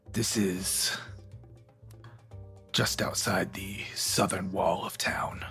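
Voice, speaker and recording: Putting on a character voice, a raspy man speaks very slowly and fairly low, with long, frequent pauses and clear music playing in the background. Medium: actual play. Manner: measured, controlled.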